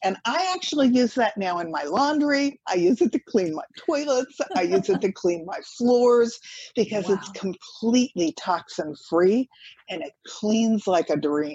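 Somewhat breathy and dark, mellow in tone, a woman speaks at a fairly high pitch with very wide pitch swings. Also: dry, close sound with no echo. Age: 70s. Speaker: author and health advocate. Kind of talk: interview.

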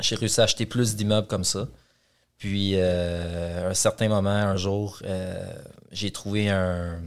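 Against a silent background on a very clean recording, a man speaks at a fairly low pitch with fairly even intonation. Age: 30s. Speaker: real estate investor and developer. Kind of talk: interview.

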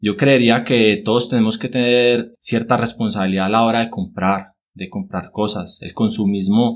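A man talks at a moderate pace. His medium pitch stays fairly even in intonation. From Colombia, Cartago (Valle del Cauca). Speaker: agronomist and environmental activist. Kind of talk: interview. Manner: hesitant, many fillers (eh, pues) and repetitions.

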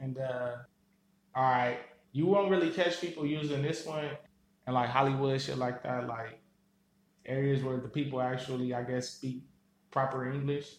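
Long, frequent pauses break up fairly even speech in an American accent. The room echo is audible. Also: man, medium pitch for a man, moderate pace. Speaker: podcast co-host. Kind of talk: recorded monologue.

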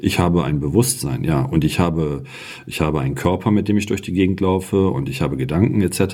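A man talks at a fairly quick pace in a very deep, low voice. Noticeable background noise is present. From outside the region where the show is made. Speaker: podcast co-host. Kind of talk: casual spiritual discussion. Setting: sitting together in the same room. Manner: animated.

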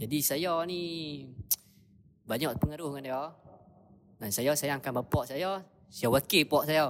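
A man with a fairly high pitch talks at a fairly slow pace, leaving long, frequent pauses. His pitch varies in an ordinary way. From northern Peninsular Malaysia. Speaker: podcast guest. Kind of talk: casual chat.

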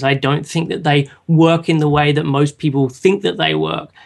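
This man has an Australian accent. His pitch sits fairly high. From Australia, Sydney. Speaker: online nutrition counselor. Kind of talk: casual interview.

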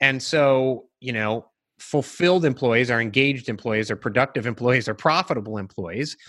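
A man talks at a moderate pace in a medium pitch, an ordinary speaking voice. His pitch varies in an ordinary way. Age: 40s. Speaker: entrepreneur and life coach. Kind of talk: interview. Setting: video call.

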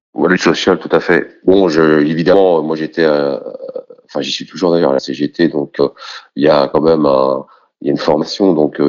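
A man speaks with a very deep, low pitch. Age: 40s. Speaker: trade unionist and activist. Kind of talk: testimony.

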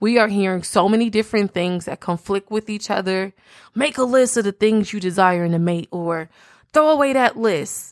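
On a very clean recording with a silent background and a dry, close sound with no echo, a woman speaks in a normal speaking voice at a moderate pace, medium in pitch with ordinary pitch variation. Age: 30s. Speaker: podcast host. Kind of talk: solo podcast monologue.

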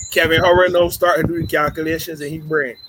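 Speech comes at a fairly quick pace with noticeable background noise behind it. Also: man. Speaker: podcast co-host. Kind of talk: casual chat.

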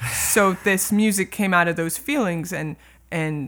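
On a very clean recording with a silent background, a woman with an American accent and an ordinary speaking voice talks at a medium pitch with lively intonation. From California. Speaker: music professor and jazz bassist. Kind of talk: casual chat.

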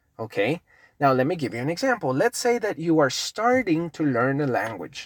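Someone with a Spanish accent speaks at a moderate pace. The recording is very clean, with a silent background. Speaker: English teacher, podcast host. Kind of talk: lesson, casual tutorial. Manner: halting, with frequent repetitions.

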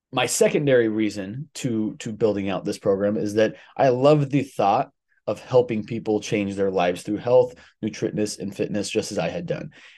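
Against a quiet background, a man speaks in a dark, mellow tone with a fairly low pitch. His pace is moderate and his pitch variation ordinary. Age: 20s. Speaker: fitness coach and podcast host. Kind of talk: solo podcast monologue. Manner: casual with filler words.

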